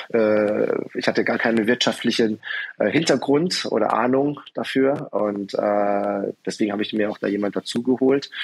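Noticeable background noise sits behind a man speaking at a moderate pace. His pitch is medium and its variation ordinary. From southwestern Germany, Karlsruhe. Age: 40s. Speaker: martial arts studio owner. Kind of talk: interview conversation. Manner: hesitant, many fillers.

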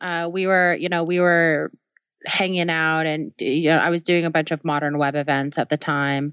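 Speaking at a fairly slow pace, a woman has a normal speaking voice, fairly low in pitch, with ordinary pitch variation. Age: 30s. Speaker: tech company co-founder, developer advocate. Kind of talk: interview.

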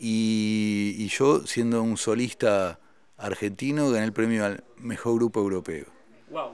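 A man's medium-pitched voice at a very slow pace. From Argentina. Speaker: musician and writer. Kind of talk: interview conversation.

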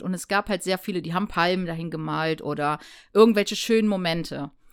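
The woman has an unremarkable speaking voice. She speaks at a moderate pace with ordinary pitch variation. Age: 30s. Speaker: former drug user sharing her experience. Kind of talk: casual chat.

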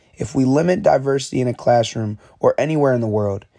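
Over a very clean recording with a silent background, a man speaks at a medium pitch and a fairly quick pace in a dark, mellow tone. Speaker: student. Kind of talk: scripted narration.

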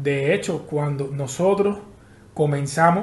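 A man with a Cuban accent speaks at a very slow pace with ordinary pitch variation, his voice carrying audible room echo. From Havana, Cuba. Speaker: podcaster. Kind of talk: casual interview chat.

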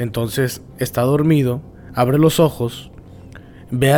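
Music plays in the background as a man talks at a fairly slow pace, his medium pitch showing ordinary variation. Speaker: podcast host. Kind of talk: casual chat. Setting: cemetery.

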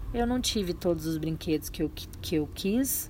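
A woman speaks at a moderate pace in a fairly low pitch. Her voice is somewhat breathy, with a dark, mellow tone. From Minas Gerais, Brazil (Triângulo Mineiro). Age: 30s. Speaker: podcaster, wellness and lifestyle talk. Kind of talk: personal monologue. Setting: at home, early morning.

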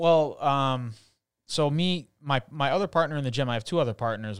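A man speaks with an American accent in an ordinary speaking voice. His pace is moderate and his pitch varies in an ordinary way, on a very clean recording with a silent background. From Chicago. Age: 30s. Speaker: retired MMA fighter. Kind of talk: casual interview chat.

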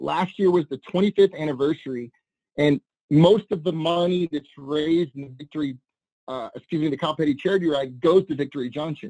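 A dark, mellow tone carries an American accent. The pace is fairly quick. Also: man, fairly high pitch for a man, ordinary pitch variation. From US South, New Orleans. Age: 40s. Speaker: content creator. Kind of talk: casual chat. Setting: video call.

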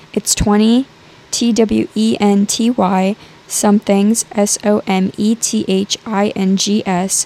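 Through noticeable background noise, a woman speaks at a very slow pace with very even loudness and fairly even intonation, the sound dry and close with no echo. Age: 20s. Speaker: podcast host. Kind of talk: casual monologue.

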